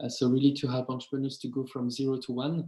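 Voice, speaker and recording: This man speaks with a French accent. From France. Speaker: start-up founder. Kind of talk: webinar talk. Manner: hesitant, many fillers.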